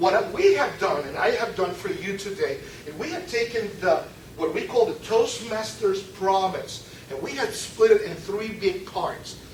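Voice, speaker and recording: A man speaks fairly slowly at a high pitch, with very wide pitch swings and big swings in loudness. Audible room echo and noticeable background noise come through. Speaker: club member giving a speech. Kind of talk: prepared speech. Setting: club meeting with audience. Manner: interactive, asks audience questions.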